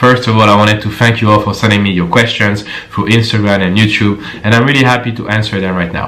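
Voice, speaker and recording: A man's fairly low voice with a French accent at a very fast pace, fairly even intonation and noticeable background noise. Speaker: personal trainer. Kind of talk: casual Q&A talk to camera.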